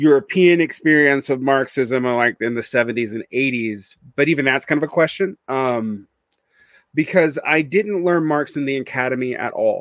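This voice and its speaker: Here a man speaks with an American accent at a moderate pace. His pitch sits fairly high. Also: ordinary pitch variation. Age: 40s. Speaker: podcaster and teacher. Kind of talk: casual interview. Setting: video call.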